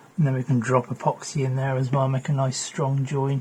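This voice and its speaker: Over noticeable background noise, a man speaks at a medium pitch and a moderate pace in a monotone, flat intonation. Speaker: electronics repair youtuber. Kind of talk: tutorial. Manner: casual, thinking aloud.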